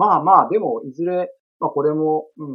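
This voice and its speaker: In a normal speaking voice, this man's fairly high pitch rises and falls with lively intonation at a moderate speed. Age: 40s. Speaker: estate-law administrative scrivener and former comedian. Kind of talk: interview. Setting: video call.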